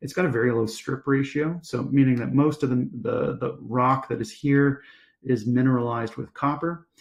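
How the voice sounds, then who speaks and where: A man talks at a moderate pace in a medium pitch. He has an ordinary speaking voice with fairly even intonation. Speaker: company executive presenting to investors. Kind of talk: investor presentation. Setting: virtual conference live stream.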